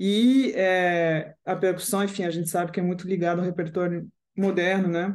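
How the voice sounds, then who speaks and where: Her medium-pitched voice carries a French accent and fairly even intonation. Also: moderate pace. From France (Paris). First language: French (speaking Portuguese). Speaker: composer and guitarist. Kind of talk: interview.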